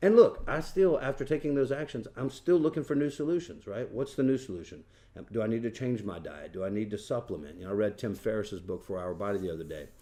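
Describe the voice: A man talks fast in a fairly low voice with a dark, mellow tone. His pitch varies in an ordinary way.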